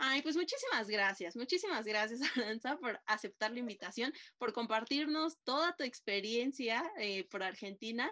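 A high-pitched woman speaks with a bright, sharp tone and lively intonation at a moderate pace. She barely pauses, and the background is quiet. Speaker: podcast host. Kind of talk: casual interview chat.

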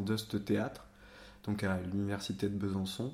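The man's voice sits fairly low in pitch. He speaks at a fairly slow pace. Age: 20s. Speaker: theatre director. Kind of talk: interview. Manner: halting.

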